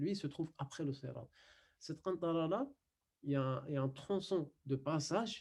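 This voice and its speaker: With a non-native accent, a man speaks at a moderate pace in a fairly high, somewhat breathy voice, his pitch varying in an ordinary way between long, frequent pauses. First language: not French (speaking French). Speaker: Quran and Arabic teacher. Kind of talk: online lesson. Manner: halting, many fillers.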